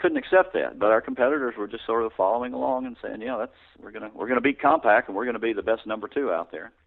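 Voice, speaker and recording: A man speaks very fast with a Texan accent. His loudness swings widely. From Texas, Houston. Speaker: tech company co-founder and executive. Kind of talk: interview.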